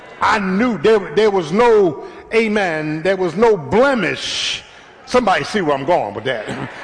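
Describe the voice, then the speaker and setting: Noticeable background noise surrounds a high-pitched man. He talks at a fairly slow pace with lively intonation. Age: 60s. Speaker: pastor. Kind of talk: sermon. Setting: church. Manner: animated.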